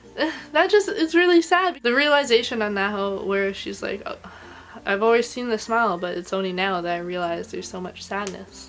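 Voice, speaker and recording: At a fairly quick pace, a woman talks at medium pitch with very wide pitch swings and big swings in loudness. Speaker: anime reviewer. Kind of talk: casual video review. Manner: animated; getting higher pitched with emotion.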